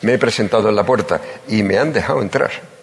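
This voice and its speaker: A man speaks at a fairly quick pace in a solemn tone, with noticeable background noise. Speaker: pregonero giving the Holy Week proclamation. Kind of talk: pregón oratory, solemn and emotional. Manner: formal, solemn, emotive, rhetorical and lyrical; nervous and emotional at first.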